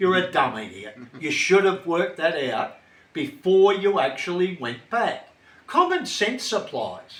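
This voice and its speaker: A man with an Australian accent and a high voice, fairly slow, swinging very widely in pitch over noticeable background noise. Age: 70s. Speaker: retiree, former martial artist. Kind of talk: casual interview chat. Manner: blunt, forceful.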